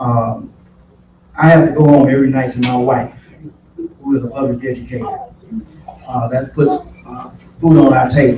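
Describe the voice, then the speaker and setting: Against noticeable background noise, a man with an American accent and medium pitch speaks at a moderate pace in a monotone, flat intonation, with long, frequent pauses. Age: 60s. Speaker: political candidate, retired pastor. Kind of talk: candidate forum answer.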